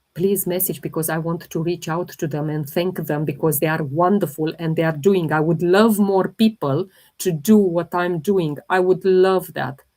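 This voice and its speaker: In a non-native accent, a woman speaks at a moderate pace with hardly any pauses, her fairly low, dark, mellow voice held to a fairly even intonation. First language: not English. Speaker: holistic health livestreamer. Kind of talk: live Q&A stream.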